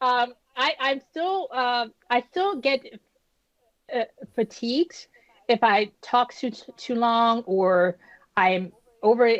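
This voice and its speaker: In a dry, close recording with no echo, a woman with a high pitch talks very slowly, leaving long and frequent pauses, her intonation lively. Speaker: stroke survivor. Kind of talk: interview. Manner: halting, speech still recovering; frequent hesitations and restarts.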